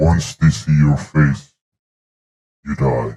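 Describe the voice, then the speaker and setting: Putting on a character voice, a man speaks at a very deep, low pitch with ordinary pitch variation. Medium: tutorial demo. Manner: calm, menacing.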